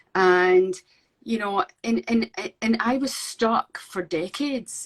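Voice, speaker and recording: A woman with a Scottish accent, fairly high-pitched, with ordinary pitch variation, very slow delivery, and a dry, close sound with no echo. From Scotland. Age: 50s. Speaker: painter. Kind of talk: interview. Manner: halting.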